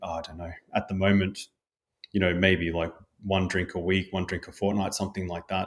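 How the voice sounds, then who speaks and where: Speaking fairly quickly with an Australian accent, this man keeps a flat, monotone delivery at a fairly low pitch. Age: 40s. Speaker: health coach. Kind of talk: casual chat.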